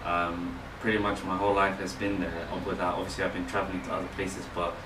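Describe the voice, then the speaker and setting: With a London accent, a man talks at a very fast pace with fairly even intonation, amid noticeable background noise and audible room echo. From London, England. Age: 20s. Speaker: author and photographer. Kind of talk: casual interview. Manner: hesitant, many fillers.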